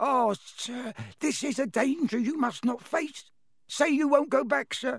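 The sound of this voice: A man's put-on character voice at an extremely high pitch, with vocal fry, a slightly husky edge, ordinary pitch variation and a fairly slow pace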